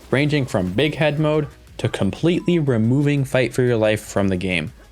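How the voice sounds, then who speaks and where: Music plays in the background while a man talks at a fairly quick pace and a medium pitch with lively intonation. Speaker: gaming content creator. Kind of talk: gaming video essay narration.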